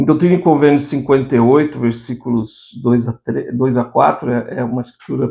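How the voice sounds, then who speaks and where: With a dark, mellow tone and vocal fry, a man speaks at a medium pitch and moderate pace, his intonation fairly even. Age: 60s. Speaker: religious teacher. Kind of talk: devotional scripture lesson. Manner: informal, conversational.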